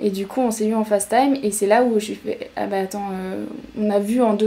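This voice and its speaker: Speaking at a fairly quick pace, a woman uses a medium-pitched voice. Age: 20s. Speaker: podcast guest. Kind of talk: personal story in interview. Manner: hesitant.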